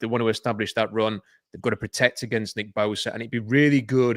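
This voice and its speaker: A man with a Yorkshire accent speaks fairly quickly at a medium pitch with fairly even intonation, captured on a very clean recording with a silent background and a dry, close sound with no echo. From Yorkshire, northern England. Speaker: football podcast analyst. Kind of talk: casual sports panel discussion.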